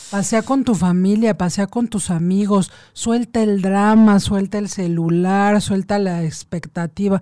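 In a quiet background, a woman with a dark, mellow tone speaks at a medium pitch and a fairly slow pace, with fairly even intonation. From Mexico City. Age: 40s. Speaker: lawyer and meditation workshop leader. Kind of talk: casual radio interview.

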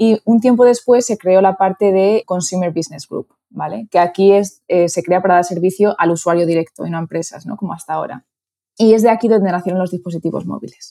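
In a Castilian accent, a woman talks at a fairly quick pace with medium pitch, ordinary pitch variation and a dark, mellow tone, in a dry, close sound with no echo. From Spain (Toledo). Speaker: advertising executive. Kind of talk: interview.

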